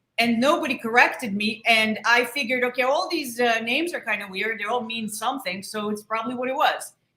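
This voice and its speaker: With a non-native accent, a woman speaks at a very fast pace. Her fairly high pitch has a bright, sharp tone and ordinary pitch variation. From outside the US, came to Pittsburgh as a child. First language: not English. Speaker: show producer. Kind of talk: casual chat.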